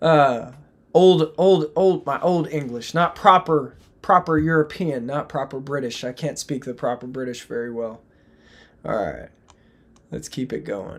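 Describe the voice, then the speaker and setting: Speaking with an American accent, the voice has an animated tone and moves at a fairly slow pace. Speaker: crypto trading streamer. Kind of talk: live stream chart analysis. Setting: live stream. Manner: casual, animated.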